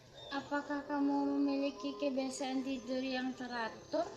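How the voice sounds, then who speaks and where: With music playing behind her, a woman talks rather slowly. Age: young. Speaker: university student interviewer. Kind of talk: structured interview. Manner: formal, with filler hesitations.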